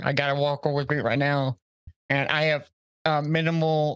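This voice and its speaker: A man's voice, fairly high in pitch, keeps to a moderate pace. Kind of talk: casual interview. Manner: halting, hesitant.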